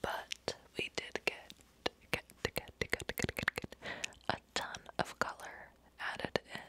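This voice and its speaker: Long, frequent pauses break up this woman's speech. She whispers, going very slowly. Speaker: ASMR content creator. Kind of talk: ASMR whisper ramble. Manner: whispered, soft-spoken. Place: home room. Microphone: studio mic.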